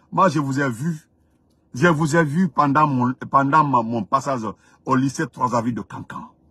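A man at a fairly slow pace, dry sound with no echo and a quiet background. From Guinea (Dongol-Touba area). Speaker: political commentator. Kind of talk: live-stream monologue. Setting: live stream. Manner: animated. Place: car. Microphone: phone near.

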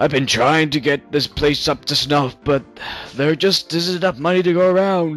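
A man puts on a character voice with a fairly high pitch. He speaks at a moderate pace over faint music in the background.

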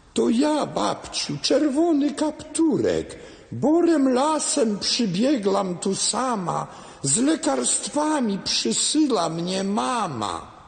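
Put-on character voice, fairly high and very slow, over light background noise. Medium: audio drama. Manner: sly, deceitful.

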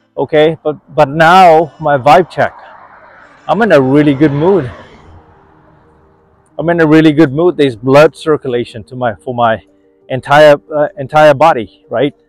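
A man speaks at a fairly slow pace with long, frequent pauses in a dry sound with no echo, faint music playing in the background. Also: ordinary pitch variation. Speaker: wellness vlogger. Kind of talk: casual vlog chat. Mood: upbeat, encouraging. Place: street. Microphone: phone near.

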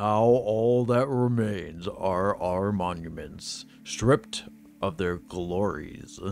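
Someone performs a put-on character voice at a very slow pace. Background noise is clearly audible. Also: man, fairly low pitch for a man. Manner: dramatic, theatrical.

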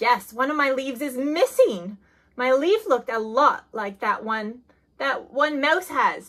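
In a cartoonish character voice, a woman talks slowly at a high pitch with lively intonation and a fairly bright tone.

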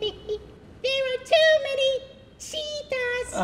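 A man puts on a character voice. It is squeaky and extremely high in pitch. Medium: comedy sketch. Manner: bouncy, excited, salesy.

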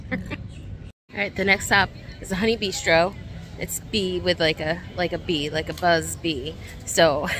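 With faint music in the background, a woman speaks at a fairly slow pace with ordinary pitch variation in a dry sound with no echo. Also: fairly low pitch for a woman. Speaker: food vlogger. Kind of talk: casual vlog chat. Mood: relaxed, a bit hot. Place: street. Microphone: phone near.

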